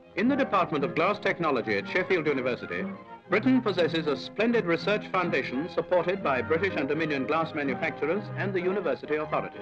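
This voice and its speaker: Clear music plays behind a man who talks at a very fast pace. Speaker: documentary narrator. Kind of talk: formal documentary narration. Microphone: old recording.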